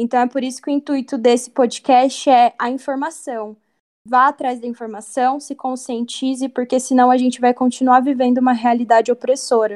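A woman speaks at a moderate pace with high pitch and flat, monotone intonation. The recording is very clean with a silent background and a dry, close sound with no echo. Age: 20s. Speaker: journalism student. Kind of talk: casual chat.

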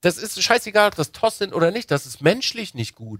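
On a very clean recording with a silent background, a man speaks in an animated tone at a moderate pace, his pitch swinging very widely. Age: 30s. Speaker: podcast co-host. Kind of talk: casual chat.

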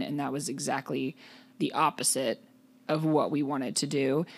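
A woman with a very deep, low voice is heard on a very clean recording with a silent background. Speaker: podcast co-host. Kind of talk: casual chat. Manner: loud.

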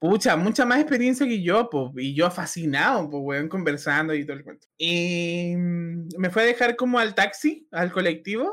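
The speaker moves at a fairly slow pace with hardly any pauses. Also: man, high pitch for a man, lively intonation, big swings in loudness. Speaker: podcast co-host. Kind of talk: casual chat.

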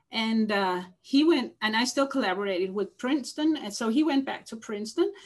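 A woman's somewhat breathy, fairly high voice at a fairly quick pace with hardly any pauses. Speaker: lab head and geneticist. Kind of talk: interview. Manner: halting.

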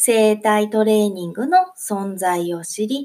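With lively intonation, a woman talks in a dark, mellow tone. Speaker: solo podcast host and eurythmics teacher. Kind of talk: solo podcast talk. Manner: cheerful.

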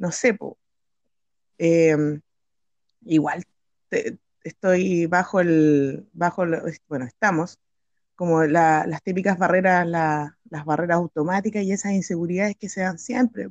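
Her voice fairly low in pitch with ordinary pitch variation, a woman speaks at a fairly slow pace with long, frequent pauses, the sound dry and close with no echo. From Chile, Patagonia. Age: 30s. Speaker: art teacher. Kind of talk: casual interview.

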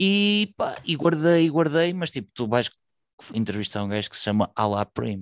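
Very wide pitch swings mark this man's fairly high voice, delivered at a moderate pace in a very clean recording with a silent background and a dry, close sound with no echo. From northern Portugal, Vila Nova de Gaia. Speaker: hip hop podcaster. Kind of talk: casual chat.

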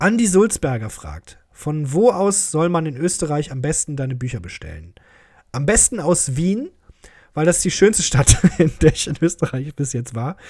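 A man with a normal speaking voice talks at a fairly slow pace with a fairly high pitch, lively intonation and big swings in loudness, on a very clean recording with a silent background. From Germany, Krefeld. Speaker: podcast host, comedian. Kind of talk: casual solo monologue, listener Q&A. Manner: joking, with frequent laughs.

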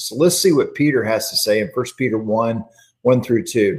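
A man with an unremarkable speaking voice, mid-range in pitch, his pitch varying in an ordinary way. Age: 50s. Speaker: church minister leading Bible study. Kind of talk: livestreamed Bible class devotional.

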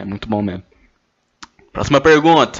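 A man's voice with ordinary pitch variation. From Brazil, Goiânia. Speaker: podcaster. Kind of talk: casual solo monologue. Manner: animated.

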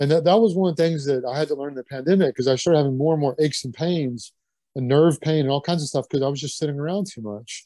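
A dark, mellow tone in a Kentucky accent against a quiet background. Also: man, dry, close sound with no echo. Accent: US Southern (Kentucky). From Kentucky (Lexington). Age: 50s. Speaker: strength athlete. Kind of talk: casual interview chat.

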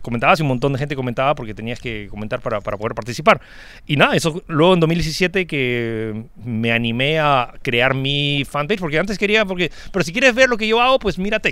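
A man talks at a fairly quick pace in a fairly high pitch, his bright, sharp tone moving through very wide pitch swings. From born outside Peru. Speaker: tech blogger and streamer. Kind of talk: casual chat.

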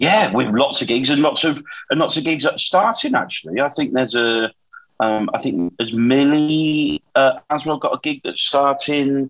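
Over background music, a man speaks at a moderate pace in a fairly high pitch for a man, with ordinary pitch variation. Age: 40s. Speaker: comedian and podcast host. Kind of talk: casual chat. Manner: halting, with many restarts.

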